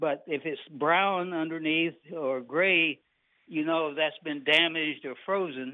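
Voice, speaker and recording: A man speaks at a fairly slow pace with fairly even intonation and a fairly high pitch. It is a plain, everyday voice. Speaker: tree nursery owner and arborist. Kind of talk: interview answering host questions.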